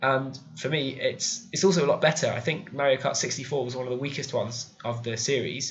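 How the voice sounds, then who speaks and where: A man with a fairly high voice talks at a fairly quick pace, his intonation fairly even. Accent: British. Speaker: video game YouTuber. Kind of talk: casual video countdown review. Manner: hesitant, many fillers.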